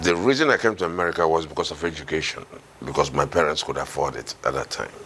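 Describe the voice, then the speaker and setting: Over noticeable background noise, a man with a very deep, low pitch talks at a very fast pace with ordinary pitch variation. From Nigeria, Imo State. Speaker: Nigerian immigrant interviewee. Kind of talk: interview. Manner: halting, many fillers.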